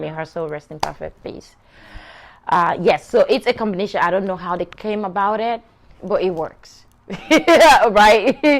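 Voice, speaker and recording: In a Sierra Leonean accent, a woman speaks at a moderate pace. Her pitch sits in the medium range. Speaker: show host. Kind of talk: personal storytelling to camera.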